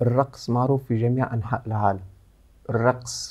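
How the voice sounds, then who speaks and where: A man's medium-pitched voice, dark and mellow in tone, with fairly even intonation against a quiet background. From Tunisia. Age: 30s. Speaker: choreographer; guest. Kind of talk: interview. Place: studio.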